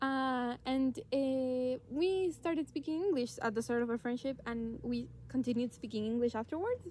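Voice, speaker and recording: A woman with a Spanish accent, high pitch, ordinary pitch variation, a moderate pace and hardly any pauses. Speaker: podcast co-host. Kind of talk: casual chat. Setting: outdoors in a forest.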